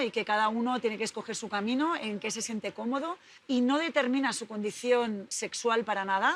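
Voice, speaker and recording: With a Spanish accent, a woman speaks at a moderate pace and fairly high pitch with ordinary pitch variation. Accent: Spanish (Spain). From Spain. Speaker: swimming coach. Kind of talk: interview.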